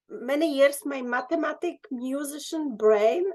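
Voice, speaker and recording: A woman in a Czech accent, high-pitched, with lively intonation at a fairly slow pace. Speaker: dance course student. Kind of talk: casual chat. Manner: halting.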